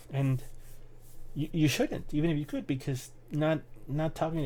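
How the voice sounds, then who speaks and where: A man's fairly high, somewhat breathy voice with a dark, mellow tone, ordinary pitch variation, and a fairly quick pace. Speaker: YouTuber vlogging resolutions. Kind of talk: casual vlog monologue. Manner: halting, repeated words.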